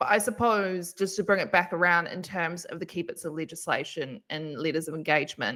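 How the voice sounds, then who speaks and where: A woman's fairly low voice in a New Zealand accent, bright and sharp in tone, fairly quick with hardly any pauses and ordinary pitch variation. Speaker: webinar moderator, events manager. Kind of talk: live Q&A webinar.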